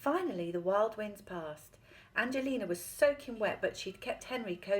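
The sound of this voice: Lively intonation in an unforced reading voice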